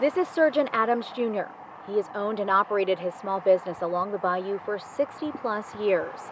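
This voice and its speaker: Amid noticeable background noise, a woman with a medium pitch speaks at a fairly quick pace with ordinary pitch variation. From New Orleans, Louisiana. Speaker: news anchor and reporter. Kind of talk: news reporting.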